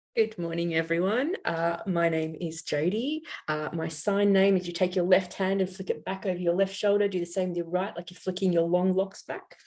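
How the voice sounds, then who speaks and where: A normal speaking voice from a woman, medium in pitch, at a moderate pace with fairly even intonation and hardly any pauses. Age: 40s. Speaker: theatre learning director. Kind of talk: panel discussion.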